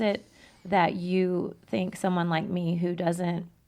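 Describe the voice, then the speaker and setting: Fairly slow delivery from a woman at a medium pitch. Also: very clean recording, silent background. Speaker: podcast co-host. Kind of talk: interview. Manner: loud.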